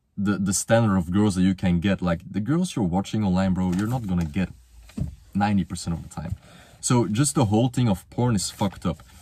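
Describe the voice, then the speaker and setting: A fairly low-pitched man with a Flemish accent, a fairly quick pace and ordinary pitch variation. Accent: Belgian (Flemish) accent in English. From Belgium. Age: 20s. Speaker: motivational youtuber. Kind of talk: casual monologue. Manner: casual, slangy.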